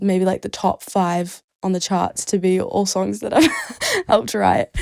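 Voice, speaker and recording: A woman with a New Zealand accent talks at a fairly slow pace. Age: young. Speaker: singer-songwriter. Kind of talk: podcast interview. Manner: casual, lots of filler words.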